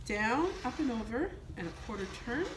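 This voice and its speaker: At a moderate pace, a woman speaks with very wide pitch swings amid audible room echo. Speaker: home economics teacher. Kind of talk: cooking tutorial. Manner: calm and gentle.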